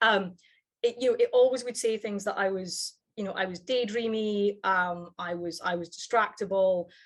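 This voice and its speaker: A woman's medium-pitched voice with a Scottish accent and ordinary pitch variation. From Scottish Highlands. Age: 30s. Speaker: psychology lecturer. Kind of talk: interview. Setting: video call. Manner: halting, many fillers and restarts.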